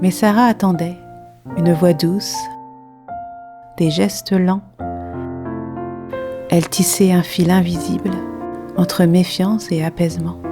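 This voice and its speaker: Soft-spoken and gentle in tone, a woman talks at a very slow pace with a fairly low pitch, leaving long, frequent pauses while music plays in the background. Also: ordinary pitch variation, very even loudness. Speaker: watercolour artist and narrator. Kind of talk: poetic story narration. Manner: soft, gentle.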